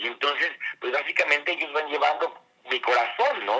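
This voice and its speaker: Noticeable background noise fills the clip. A man talks over it at a moderate pace. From Mexico. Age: 50s. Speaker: master perfumer. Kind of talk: interview. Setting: remote call. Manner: halting with repetitions.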